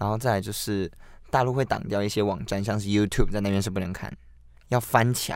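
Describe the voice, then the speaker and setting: In a normal speaking voice, the speaker goes at a fairly quick pace with fairly even intonation, on a very clean recording with a silent background. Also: man, fairly low pitch for a man. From Taiwan (lived in mainland China as a young child). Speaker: podcast co-host. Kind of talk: casual chat.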